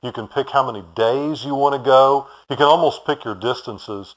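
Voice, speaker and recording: The recording is very clean with a silent background. A man with a Texan accent speaks at a fairly high pitch. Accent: Texan American. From Houston, Texas. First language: German. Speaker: bicycle shop owner. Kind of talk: interview.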